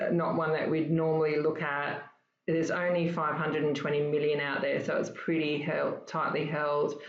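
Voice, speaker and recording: An Australian accent from a woman with a very deep, low pitch, at a moderate pace, in audible room echo. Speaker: stock trading educator. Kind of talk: casual chat.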